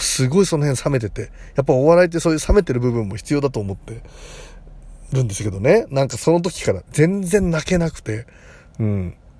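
Somewhat breathy and dark, mellow in tone, a man speaks at a fairly high pitch and a fairly quick pace, with very wide pitch swings and big swings in loudness. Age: 40s. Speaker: psychic comedian and podcaster. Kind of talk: casual monologue. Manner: rambling, conversational.

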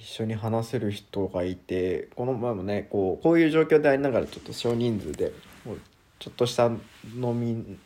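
Relaxed and with a dark, mellow tone, a man speaks at a moderate pace and medium pitch, with ordinary pitch variation and big swings in loudness. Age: 20s. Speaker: schoolteacher. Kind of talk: solo monologue podcast. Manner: casual, relaxed.

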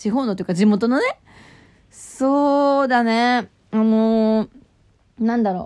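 A woman's fairly high voice, fairly slow with long, frequent pauses and ordinary pitch variation. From Japan, Nagano Prefecture. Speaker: radio personality. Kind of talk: casual talk radio monologue with letter reading. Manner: imitates local FM reporter style while reading.

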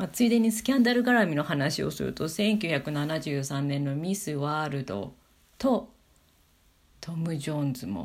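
In a very clean recording with a silent background, a woman with a very deep, low pitch and vocal fry speaks at a moderate pace with very wide pitch swings. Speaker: podcaster. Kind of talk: solo talk monologue. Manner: casual with fillers.

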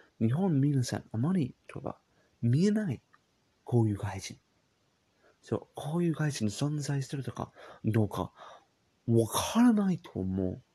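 A man's fairly high, somewhat breathy voice with very wide pitch swings, big swings in loudness and long, frequent pauses. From England. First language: English (speaking Japanese). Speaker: podcaster. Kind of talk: casual monologue. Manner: halting.

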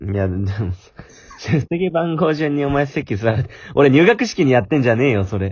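The speech moves at a medium speed, its pitch leaping very widely. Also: man, medium pitch for a man. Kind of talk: casual chat.

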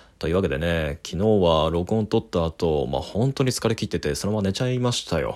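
A man speaks in a very deep, low pitch. His intonation is lively, with hardly any pauses. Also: fairly quick pace. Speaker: critic doing a daily voice memo podcast. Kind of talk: solo monologue voice memo. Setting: living room at night while housemate sleeps. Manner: calm, composed.

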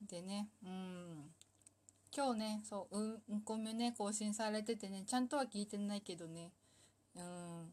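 The delivery is rather slow and somewhat breathy, and the pitch moves in an ordinary way. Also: woman, medium pitch for a woman. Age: 30s. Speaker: solo talk show host. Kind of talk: casual monologue. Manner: animated, frequent laughter.

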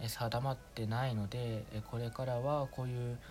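At a moderate pace, a man speaks in a medium-pitched, somewhat breathy voice with fairly even intonation. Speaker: amateur podcaster. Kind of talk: casual monologue. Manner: relaxed and subdued, not projecting; halting, many fillers.

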